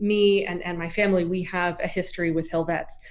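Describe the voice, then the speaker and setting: A woman speaking at a fairly quick pace, with audible room echo and noticeable background noise. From US Southeast. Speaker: nonprofit executive director. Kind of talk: interview.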